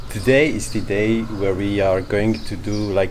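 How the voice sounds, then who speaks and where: Over noticeable background noise, a man speaks in a non-native accent. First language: not English. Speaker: travel vlogger. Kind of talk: vlog talk to camera. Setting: outdoors at a harbor.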